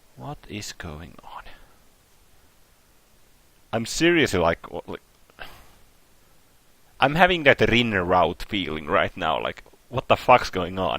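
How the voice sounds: A man's low, slow voice with vocal fry, a fairly bright tone, lively intonation, and long, frequent pauses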